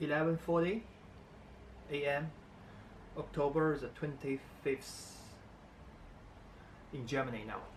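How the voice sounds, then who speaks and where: With a non-native accent, a man speaks at a fairly slow pace and fairly high pitch. His pitch variation is ordinary, and he takes long, frequent pauses. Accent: non-native English speaker. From China. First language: Chinese. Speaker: vlogger. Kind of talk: casual vlog talk to camera. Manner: halting, many fillers.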